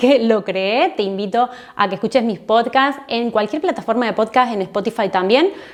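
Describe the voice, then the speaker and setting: A woman's fairly high voice at a fairly quick pace. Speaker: online marketing educator and YouTuber. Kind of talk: casual recommendation vlog. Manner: fast.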